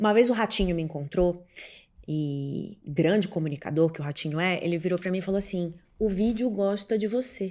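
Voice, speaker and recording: In a very clean recording with a silent background, a woman talks at a moderate pace. Her medium pitch carries lively intonation and a dark, mellow tone. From Pará, northern Brazil (Belém). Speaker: TV journalist and presenter. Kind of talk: podcast interview. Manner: outspoken, assertive.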